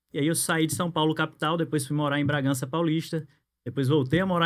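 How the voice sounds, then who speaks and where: A fairly quick, fairly high-pitched male voice. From Natal, northeast Brazil. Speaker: insurance broker and business networking director. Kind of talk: podcast interview.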